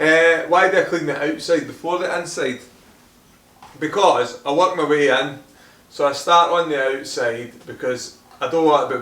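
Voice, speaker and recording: Over noticeable background noise and audible room echo, a man with a Scottish accent talks at a fairly slow pace in a fairly high pitch, with ordinary pitch variation and long, frequent pauses. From Scotland, Hamilton near Glasgow. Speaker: car detailing YouTuber. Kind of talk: Q&A video, casual chat.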